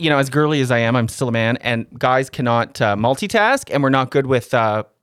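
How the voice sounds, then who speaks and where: A man speaks in an unremarkable speaking voice at a fairly quick pace, medium in pitch with ordinary variation. The recording is very clean, with a silent background. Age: 30s. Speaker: comedian and radio co-host. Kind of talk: casual chat. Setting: studio.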